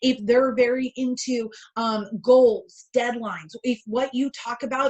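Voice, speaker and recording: A woman speaks loudly at a high pitch. Her pitch varies in an ordinary way. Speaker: keynote speaker and sales coach. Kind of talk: webinar presentation. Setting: online webinar.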